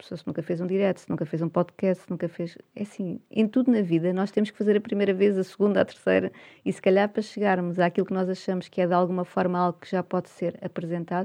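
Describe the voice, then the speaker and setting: A woman with a medium pitch and a dark, mellow tone talks at a very fast pace, her intonation fairly even while her loudness swings widely. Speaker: communication coach. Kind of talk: interview.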